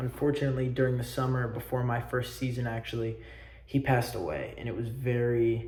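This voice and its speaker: A man with an American accent speaks at a medium pitch in a monotone, flat intonation. Audible room echo and noticeable background noise surround his voice. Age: young. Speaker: student. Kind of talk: self-presentation video. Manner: loud; halting.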